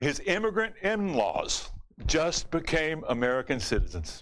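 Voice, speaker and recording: Here a man uses an ordinary speaking voice with lively intonation. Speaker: comedian and talk show host. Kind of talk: stand-up monologue and interview. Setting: studio with live audience.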